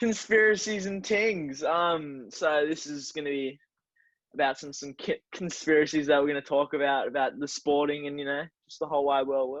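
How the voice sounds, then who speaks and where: A man with an Australian accent speaks at a moderate pace in a fairly high pitch. His pitch varies in an ordinary way, while his loudness swings widely. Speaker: podcast co-host. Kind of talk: casual chat. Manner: slurring words.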